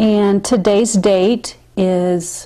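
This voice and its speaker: Behind the speaker, the background is quiet. She is a woman with a medium pitch. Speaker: oral history interviewer. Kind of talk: interview questions. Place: home room.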